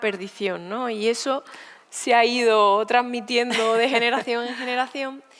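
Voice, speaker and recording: With an Andalusian accent, a woman speaks at a moderate pace and a fairly high pitch in a monotone, flat intonation. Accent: Andalusian rural. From Spain, Sierra Norte of Seville (Andalusia). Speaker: poet and writer. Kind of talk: onstage conversation interview. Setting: stage at a literature festival.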